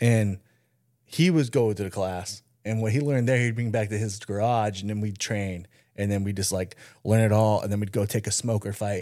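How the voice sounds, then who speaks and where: The voice keeps a moderate pace and fairly even intonation. It is a very clean recording with a silent background. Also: man, fairly low pitch for a man. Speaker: podcast co-host. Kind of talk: casual chat.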